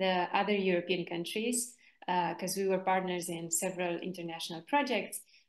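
Audible room echo hangs around this woman's voice. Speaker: workshop facilitator. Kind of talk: online workshop presentation. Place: home room. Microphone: video call.

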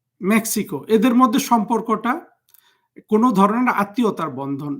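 Very wide pitch swings in a very clean recording with a silent background. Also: man. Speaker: political commentator. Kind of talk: political monologue.

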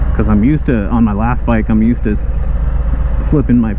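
Noticeable background noise sits behind this recording. Over it, a man speaks in a very deep, low pitch. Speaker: motorcycle rider vlogger. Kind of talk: casual vlog chat. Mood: relaxed, mildly annoyed. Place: motorbike.

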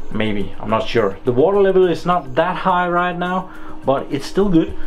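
A man speaks at a moderate pace while faint music sits in the background. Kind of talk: tutorial. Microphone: phone near.

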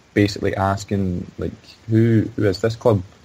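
With a Glaswegian accent, a man talks at a moderate pace in a fairly low pitch. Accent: Glaswegian Scottish. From Scotland, Glasgow. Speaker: sports journalist. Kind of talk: interview. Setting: remote call. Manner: halting.

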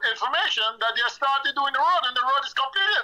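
A man speaks in a raised, projected voice at an extremely high pitch. His tone is bright and sharp, with ordinary pitch variation. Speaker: caller. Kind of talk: call-in comment.

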